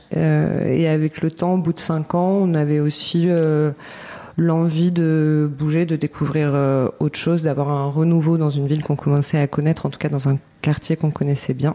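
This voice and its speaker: A woman talks at a very deep, low pitch with monotone, flat intonation and very even loudness. Noticeable background noise is present. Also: moderate pace. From Paris, France. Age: 30s. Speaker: artist, set designer and bookbinder. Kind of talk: podcast interview. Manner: hesitant, many fillers.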